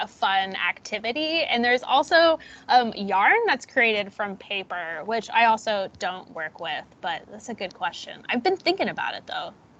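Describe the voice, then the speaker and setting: A loud, bright, sharp voice with very wide pitch swings at a moderate pace. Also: woman. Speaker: teacher, artist giving a talk.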